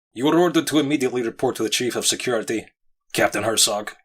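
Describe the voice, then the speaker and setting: A man performs a put-on character voice at medium pitch and a very fast pace. The recording is very clean, with a silent background. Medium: read story.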